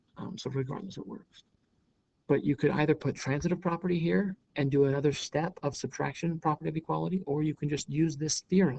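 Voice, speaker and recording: The man's voice is somewhat breathy, with ordinary pitch variation and a fairly quick pace. The sound is dry and close with no echo. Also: fairly high pitch for a man. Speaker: math teacher. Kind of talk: lecture. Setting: recorded on a laptop. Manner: fast.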